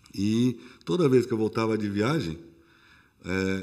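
Male speech with ordinary pitch variation, very clean recording, silent background. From São Paulo, Brazil. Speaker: restaurant owner, former corporate executive. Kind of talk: casual interview.

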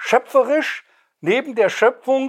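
A man talks at a fairly slow pace. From Hesse, Germany (Wetterau, near Friedberg). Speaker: poet and retired museum director. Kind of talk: poetry reading with commentary. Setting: bookshop reading with audience.

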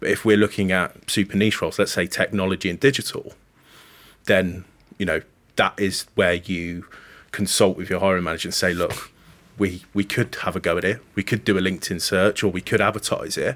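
A man's fairly low voice in a West Midlands accent, with fairly even intonation, on a very clean recording with a silent background. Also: fairly quick pace. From Coventry, England. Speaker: talent acquisition manager. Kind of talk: casual interview chat.

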